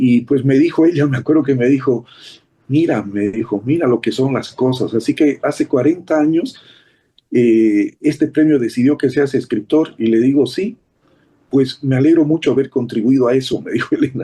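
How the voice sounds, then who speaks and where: The man's tone comes across as dark and mellow. His pace is moderate. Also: medium pitch for a man, ordinary pitch variation. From Bolivia, Beni lowlands. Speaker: writer. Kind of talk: interview.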